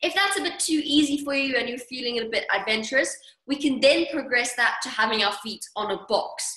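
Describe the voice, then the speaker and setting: A raised, projected voice with an upbeat tone at a fairly quick pace. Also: woman, high pitch for a woman, lively intonation. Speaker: fitness coach. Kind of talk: online workout class instruction. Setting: video call. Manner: upbeat, encouraging.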